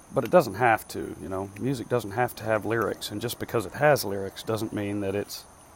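A man's fairly quick delivery with hardly any pauses, big swings in loudness and ordinary pitch variation. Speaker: solo podcaster. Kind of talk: casual monologue. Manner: halting.

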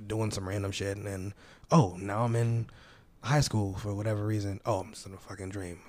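A man with a normal speaking voice and a fairly low pitch, at a moderate pace, on a very clean recording with a silent background. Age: 20s. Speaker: singer-songwriter. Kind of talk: casual chat.

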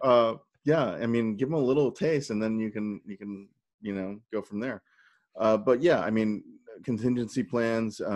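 A man talks in an ordinary speaking voice at medium pitch, with ordinary pitch variation. He keeps a moderate pace against a quiet background. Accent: American. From US Midwest (St. Louis). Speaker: political candidate and entrepreneur. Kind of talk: interview.

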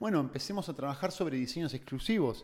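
A man talks in an unremarkable speaking voice. His intonation is lively. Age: 20s. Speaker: entrepreneur. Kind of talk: casual chat.

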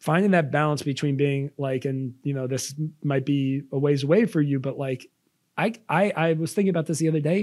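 Recorded very cleanly against a silent background, a man with a New York accent talks fairly quickly at a fairly high pitch with ordinary pitch variation. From Long Island, New York. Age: 30s. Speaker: podcast co-host. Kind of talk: casual chat. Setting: studio.

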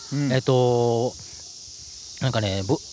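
This voice belongs to a man. Noticeable background noise runs underneath. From Osaka, Japan (Umeda). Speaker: author. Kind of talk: casual interview chat. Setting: outdoors on a park bench.

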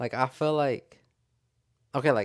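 A man of medium pitch talks at a fairly quick pace. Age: 20s. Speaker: podcast co-host. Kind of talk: casual chat. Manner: halting.

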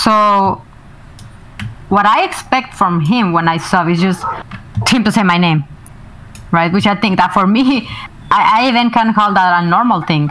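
A Spanish accent at a moderate pace, with ordinary pitch variation, very even loudness, long, frequent pauses and noticeable background noise. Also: woman, medium pitch for a woman. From Mexico. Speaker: streamer. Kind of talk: casual chat.

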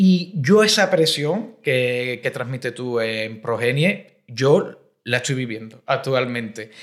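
Lively intonation marks this man's speech. He goes at a very slow pace. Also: medium pitch for a man, hardly any pauses. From Cádiz, Andalusia. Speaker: podcast host. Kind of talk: interview conversation.

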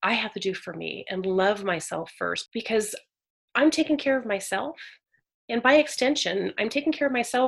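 With an unremarkable speaking voice, a woman in an American accent talks at a moderate pace with a fairly high pitch and lively intonation. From Northern California. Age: 40s. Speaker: author. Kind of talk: casual interview. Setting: remote call.

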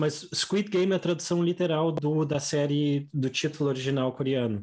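With a southern Brazilian accent, a man speaks in a fairly high pitch with ordinary pitch variation, very even loudness, and hardly any pauses. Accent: gaúcho Brazilian Portuguese. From southern Brazil, Rio Grande do Sul. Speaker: Portuguese teacher and podcast co-host. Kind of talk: casual chat.

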